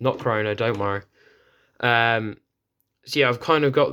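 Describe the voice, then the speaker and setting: A man with a British accent, in a very clean recording with a silent background. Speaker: RC car hobbyist youtuber. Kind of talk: product review. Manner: fast.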